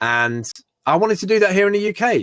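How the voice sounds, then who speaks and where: A British accent with very wide pitch swings, an animated tone and a moderate pace, dry and close with no echo. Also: man. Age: 40s. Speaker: entrepreneur and maker. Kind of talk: podcast interview. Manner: animated, with many restarts and fillers.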